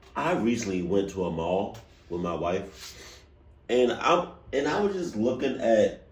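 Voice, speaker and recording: Somewhat breathy and fairly low in pitch, a man's voice swings very widely in pitch amid audible room echo. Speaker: reaction video youtuber. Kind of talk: casual chat. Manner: halting.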